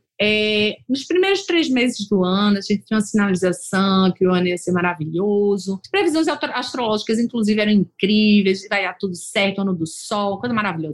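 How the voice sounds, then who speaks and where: A woman talks in a normal speaking voice at a medium pitch, with ordinary pitch variation. Her pace is fairly quick, with hardly any pauses. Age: 40s. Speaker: lawyer and company founder, podcast host. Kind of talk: solo podcast monologue. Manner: casual, conversational.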